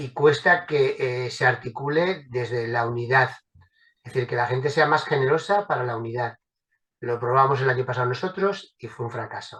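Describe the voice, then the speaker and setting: A man talks at a moderate pace, with big swings in loudness. His tone is bright and sharp. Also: medium pitch for a man, ordinary pitch variation. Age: 60s. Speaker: political activist. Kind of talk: panel discussion. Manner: hesitant, with many fillers.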